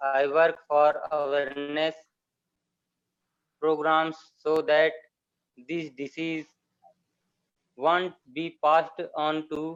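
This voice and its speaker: A man's very slow, flat, monotone delivery in a fairly high voice, with an Indian accent. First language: Hindi. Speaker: sickle cell patient advocate. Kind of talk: panel introduction. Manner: halting.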